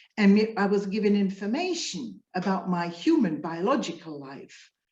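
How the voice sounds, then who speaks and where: The woman uses a plain, everyday voice at a medium pitch. She talks fairly slowly with lively intonation. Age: 60s. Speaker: spiritual coach. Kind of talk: interview. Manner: conversational.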